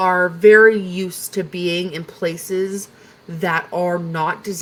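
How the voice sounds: The intonation is fairly even throughout. It is a natural reading voice.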